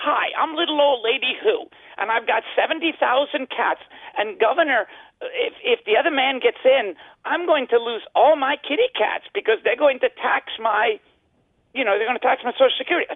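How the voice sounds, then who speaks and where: Moderately paced speech from a woman in a put-on character voice, pitched high. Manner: pleading, worried.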